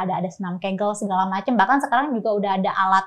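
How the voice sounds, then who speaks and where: There is a quiet background behind the woman who is speaking. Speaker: talk show host. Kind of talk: casual talk show chat. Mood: chatty, animated. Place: studio. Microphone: lapel.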